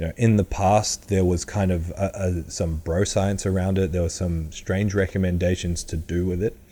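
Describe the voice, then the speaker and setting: A man's very deep, dark, mellow voice with an Australian accent, monotone and flat, at a moderate pace. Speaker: powerlifting coach. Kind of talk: podcast monologue.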